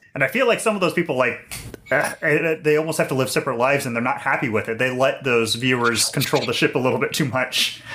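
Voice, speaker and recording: Against noticeable background noise, a man with a fairly high pitch and ordinary pitch variation talks at a very fast pace. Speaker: hardware expert co-host. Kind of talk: casual interview chat. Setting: video call.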